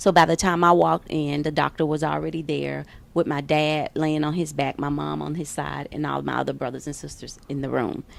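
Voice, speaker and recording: A woman with a slight Southern US accent, fairly quick in pace, with hardly any pauses. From US South, Memphis, Tennessee. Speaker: fitness trainer. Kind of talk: interview.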